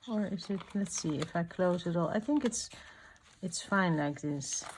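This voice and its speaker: Soft-spoken, a woman talks at a moderate pace with a fairly low pitch. Her intonation is lively. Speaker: art journaling youtuber. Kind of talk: crafting tutorial chat. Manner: halting.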